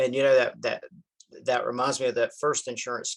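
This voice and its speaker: A man talks with a Southern US accent. The recording is dry and close with no echo. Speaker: insurance broker. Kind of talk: interview conversation.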